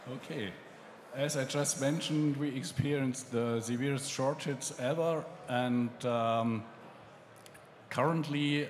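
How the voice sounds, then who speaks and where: A man with a German accent talks at a very slow pace, his medium-pitched voice holding a fairly even intonation. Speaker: magazine editor, panel moderator. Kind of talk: panel discussion moderation. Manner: hesitant, many fillers.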